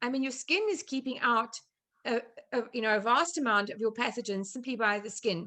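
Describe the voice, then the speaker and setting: A woman's high-pitched, bright, sharp voice with a South African accent over a quiet background. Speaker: chef and nutrition therapist. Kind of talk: online presentation. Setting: video call.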